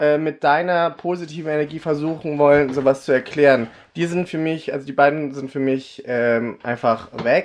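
Pitched fairly high, a man talks at a moderate pace in an ordinary speaking voice. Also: fairly even intonation. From Germany, raised from age five, born in the Philippines. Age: 30s. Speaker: drag artist. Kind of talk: casual chat.

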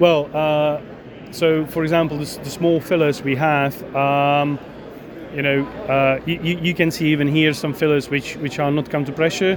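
Against noticeable background noise, a man speaks at a moderate pace with monotone, flat intonation. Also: fairly high pitch for a man. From Czech Republic. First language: Czech. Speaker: equipment company executive. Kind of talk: interview. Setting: trade show. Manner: halting.

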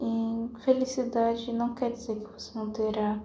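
With audible room echo and noticeable background noise, a woman with a fairly high pitch speaks very slowly in a flat, monotone way. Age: 20s. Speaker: podcaster. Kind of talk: casual monologue. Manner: halting.

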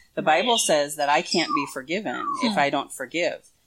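This woman's voice sits at a fairly low pitch. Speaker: pastor and conference founder. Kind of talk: casual interview chat. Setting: video interview. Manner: animated, loud talker.

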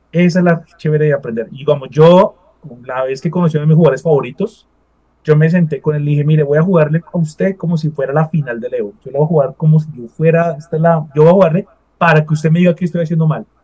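A man talks at a very fast pace, his pitch fairly high. His tone is dark and mellow, and his intonation is fairly even. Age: 40s. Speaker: esports event organizer. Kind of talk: interview.

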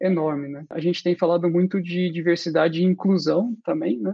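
This man talks at a moderate pace in a high voice with ordinary pitch variation. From Brazil. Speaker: UX designer. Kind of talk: casual interview.

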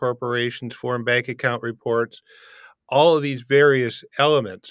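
A man speaks with a Canadian accent in a normal speaking voice, using fairly even intonation. The recording is very clean, with a silent background. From Canada, Windsor, Ontario. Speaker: international tax and immigration advisor. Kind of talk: interview.

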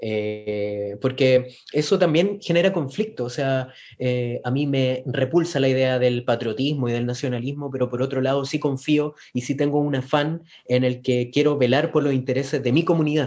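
A man speaks at medium pitch with a Chilean accent. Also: ordinary pitch variation, moderate pace. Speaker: podcast co-host. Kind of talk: casual chat. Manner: halting.

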